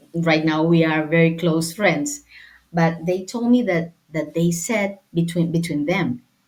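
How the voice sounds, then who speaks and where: Speaking fairly slowly in a Spanish accent, a woman uses a fairly low pitch and ordinary pitch variation. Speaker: sports lawyer and football administrator. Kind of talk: interview. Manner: halting.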